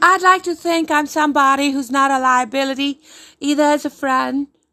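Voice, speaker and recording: A woman speaks in a raised, projected voice with a high pitch and a bright, sharp tone. The recording is very clean, with a silent background. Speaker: stand-up comedian. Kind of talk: angry rant. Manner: indignant, emphatic, sarcastic.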